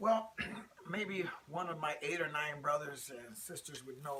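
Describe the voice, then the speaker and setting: A man with an American accent speaks at a fairly high pitch. There is noticeable noise in the background. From US Midwest, Rockford, Illinois. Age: 60s. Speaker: interviewee. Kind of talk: interview. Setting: at home.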